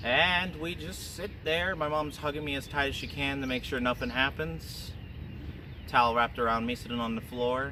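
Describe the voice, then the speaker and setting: A man with an American accent uses ordinary pitch variation, and audible room echo surrounds his voice. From US Midwest, Joplin, Missouri. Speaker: vlogger. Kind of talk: casual storytelling. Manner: halting.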